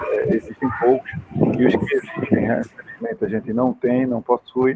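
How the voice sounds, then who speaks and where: Noticeable background noise runs under this recording. A man talks at medium pitch and a moderate pace. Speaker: university lecturer in industrial automation. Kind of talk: lecture. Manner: informal, hesitant with fillers.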